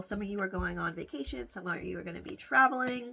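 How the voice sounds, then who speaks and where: A woman speaks at a very fast pace with vocal fry. Her pitch swings very widely. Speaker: tarot card reader. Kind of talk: tarot reading to camera. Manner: casual, filler-heavy.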